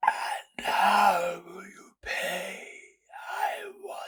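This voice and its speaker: In a raspy put-on character voice, a man drawls at a very slow pace. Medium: read story. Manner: slow, cryptic, mocking.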